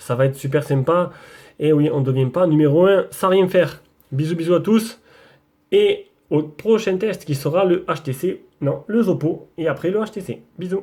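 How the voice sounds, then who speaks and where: At a fairly slow pace, a man talks in a high voice with a dark, mellow tone. His pitch varies in an ordinary way. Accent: Marseille. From southern France, Marseille area. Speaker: tech YouTuber. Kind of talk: casual vlog. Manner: casual, hesitant with many fillers.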